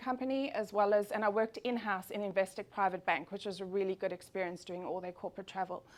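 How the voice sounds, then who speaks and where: A woman with a South African accent and ordinary pitch variation. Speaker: travel agent. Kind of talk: business presentation. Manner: fast.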